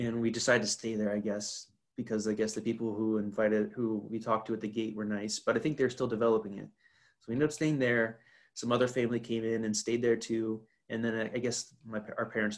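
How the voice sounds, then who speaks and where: A man with an American accent speaks at a very fast pace and medium pitch. His intonation is monotone and flat, with a quiet background. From North Carolina. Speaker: podcast guest, host's roommate. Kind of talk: casual chat. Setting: video call. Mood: relaxed, smiling. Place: home room. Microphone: video call.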